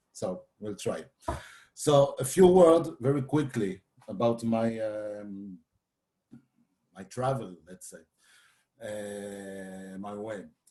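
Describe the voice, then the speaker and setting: With a dark, mellow tone and a fairly low pitch, a man speaks very slowly with lively intonation, long and frequent pauses, and big swings in loudness. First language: French. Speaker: photographer and philosophy lecturer. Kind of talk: lecture. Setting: video call. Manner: halting.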